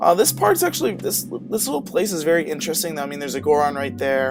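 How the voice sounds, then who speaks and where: A man's voice against noticeable background noise. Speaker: video game let's play commentator. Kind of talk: casual gameplay commentary.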